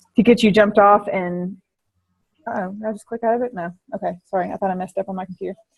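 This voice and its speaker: The somewhat breathy voice rushes at a very fast pace with fairly even intonation and big swings in loudness, in a dry, close sound with no echo. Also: woman, medium pitch for a woman. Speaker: network marketing trainer. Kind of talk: online training session. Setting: video call.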